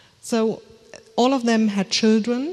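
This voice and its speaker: A woman speaks in a German accent. Her pace is fairly slow. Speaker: author and family historian. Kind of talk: lecture read from script. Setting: lecture hall with audience and screens.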